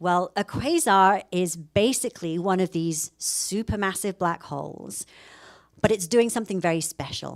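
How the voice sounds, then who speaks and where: Someone with a British accent speaks at a moderate pace with ordinary pitch variation. The recording is very clean and dry, close with no echo, over a silent background. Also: woman, medium pitch for a woman. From UK. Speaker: professor. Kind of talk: public lecture.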